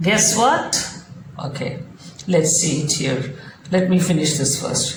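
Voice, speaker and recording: With audible room echo and noticeable background noise, a woman with a very deep, low pitch talks at a very slow pace with ordinary pitch variation. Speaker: programming tutor. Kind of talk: tutorial.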